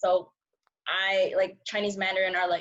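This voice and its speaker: With a Californian accent, a woman speaks at medium pitch with ordinary pitch variation. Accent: Californian American English. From San Francisco, US. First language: Cantonese. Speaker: journalism student. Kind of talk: casual interview chat.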